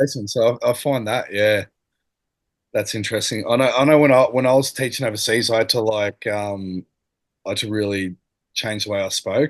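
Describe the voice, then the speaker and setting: Mumbling at a fairly quick pace with long, frequent pauses, a man with an Australian accent speaks in a medium pitch against a quiet background. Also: fairly even intonation. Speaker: former teacher. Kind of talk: casual chat.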